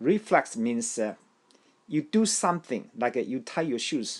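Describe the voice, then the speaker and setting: Against a quiet background, a speaker with a Taiwanese accent goes at a fairly slow pace with very wide pitch swings. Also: man. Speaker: language learning teacher. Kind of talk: tutorial. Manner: halting, with repetitions and fillers.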